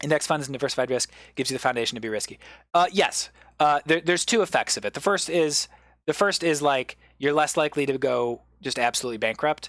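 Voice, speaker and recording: Speech at a very fast pace fills a very clean recording with a silent background. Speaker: comedian. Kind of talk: improvised lecture on a livestream. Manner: hesitant, many fillers and restarts.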